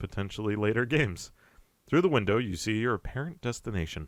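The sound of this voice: The intonation is lively as someone reads in an unforced voice.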